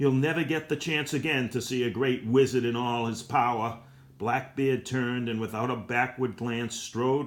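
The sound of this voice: An unforced reading voice with fairly even intonation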